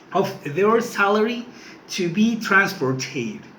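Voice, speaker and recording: A man's high voice with a non-native accent, very slow and lively in intonation, with audible room echo. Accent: non-native English, working on pronunciation. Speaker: student. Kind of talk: class speech presentation. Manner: halting, with repetitions.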